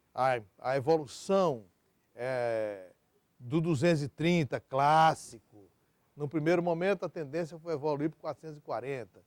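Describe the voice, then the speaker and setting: A man speaks at a fairly slow pace with a fairly high pitch and ordinary pitch variation, his voice dry and close with no echo on a very clean recording over a silent background. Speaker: electric power sector executive. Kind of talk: oral history interview. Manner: halting, with many fillers and repetitions.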